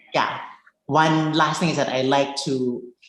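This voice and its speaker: Amid audible room echo, a woman with a Cebuano accent speaks at a very slow pace, her very deep, low pitch delivered in monotone, flat intonation. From Philippines. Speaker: filmmaker. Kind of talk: interview. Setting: video call.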